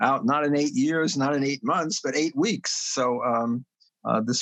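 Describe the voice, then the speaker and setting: At a moderate pace, a man with a New York accent talks in a fairly high pitch. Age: 70s. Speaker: economics professor. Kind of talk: podcast interview. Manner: halting, many fillers.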